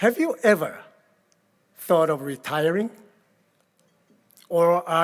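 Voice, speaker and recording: A man with a high pitch and a Korean accent, at a fairly slow pace with ordinary pitch variation. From Korea, rural village. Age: 80s+. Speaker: keynote speaker. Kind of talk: keynote speech. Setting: gala event with audience.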